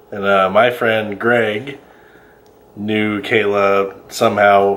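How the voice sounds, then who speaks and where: With audible room echo, a man speaks in a fairly low pitch with an American accent. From Colorado. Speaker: vlogger. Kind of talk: casual chat.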